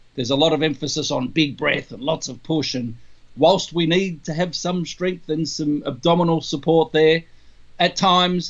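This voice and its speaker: Speaking with an Australian accent, a man has a fairly high pitch, ordinary pitch variation and a moderate pace. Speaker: trumpeter and trumpet teacher. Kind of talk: interview Q&A.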